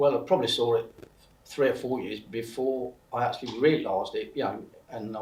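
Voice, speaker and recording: Somewhat breathy, a man with a medium-pitched voice talks at a fairly quick pace. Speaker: recovering alcoholic sharing his story. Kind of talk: interview testimony. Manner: halting, many fillers and repetitions.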